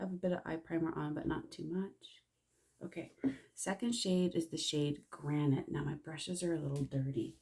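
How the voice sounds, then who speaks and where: Soft-spoken and somewhat breathy, a woman talks at a fairly quick pace in a fairly low pitch with a dark, mellow tone. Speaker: makeup consultant. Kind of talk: tutorial. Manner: casual.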